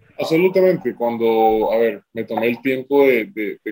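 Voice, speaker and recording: A man speaks at a medium pitch. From Colombia. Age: 20s. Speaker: professional basketball player. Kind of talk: interview. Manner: halting, many repetitions and fillers.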